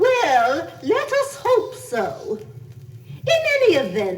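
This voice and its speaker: A female-sounding voice in a put-on character voice speaks at a very slow pace and an extremely high pitch, with clear background noise. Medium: read story. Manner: opinionated, knowing.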